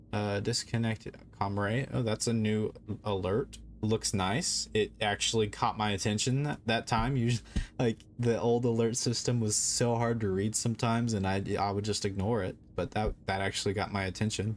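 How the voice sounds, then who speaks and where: With music in the background, a man of fairly low pitch speaks at a moderate pace with very even loudness and fairly even intonation. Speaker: video game streamer. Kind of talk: live gameplay stream commentary. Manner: halting, many fillers and restarts.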